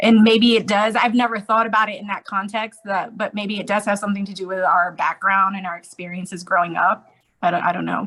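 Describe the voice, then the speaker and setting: Bright and sharp in tone, a woman with an American accent and a medium pitch speaks at a fairly quick pace with hardly any pauses, keeping her intonation fairly even while her loudness swings widely. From Okinawa, Japan (US military base community). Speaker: podcast guest. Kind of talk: casual chat.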